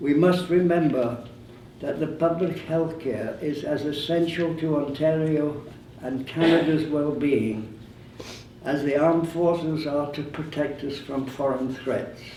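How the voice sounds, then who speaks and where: A man at a fairly high pitch, with fairly even intonation and noticeable background noise. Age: 80s+. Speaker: war veteran. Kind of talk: public speech.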